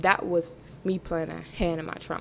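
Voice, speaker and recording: Noticeable background noise fills the recording. Through it, a woman is talking. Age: young (19). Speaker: podcast host. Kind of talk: solo monologue, casual. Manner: casual, filler-heavy.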